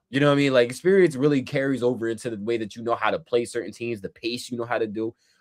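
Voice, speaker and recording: Speaking very fast with hardly any pauses, a man with a Jamaican accent keeps an animated tone at medium pitch and ordinary pitch variation. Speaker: basketball podcast co-host. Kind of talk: casual chat.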